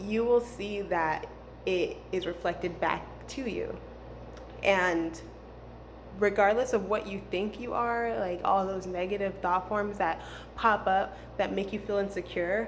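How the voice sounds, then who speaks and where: Audible room echo surrounds a woman speaking at a fairly slow pace with vocal fry. Her pitch sits in the middle range, and her intonation stays fairly even. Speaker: spiritual healing vlogger. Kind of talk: casual monologue. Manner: hesitant, many fillers.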